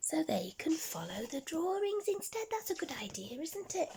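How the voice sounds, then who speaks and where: Someone performs a put-on character voice at an extremely high pitch. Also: moderate pace. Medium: read story. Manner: warm, friendly.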